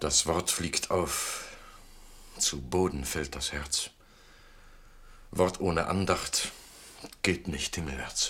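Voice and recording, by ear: Using a put-on character voice, a man speaks at an extremely low pitch in a bright, sharp tone, at a slow pace with long, frequent pauses and ordinary pitch variation.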